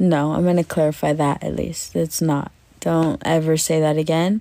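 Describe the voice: A woman with a low pitch and a dark, mellow tone speaks at a moderate pace, her pitch moving little.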